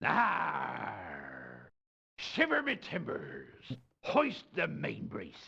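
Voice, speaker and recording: In a raspy, put-on character voice, a man speaks at a very slow pace. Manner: exaggerated, mock-salty.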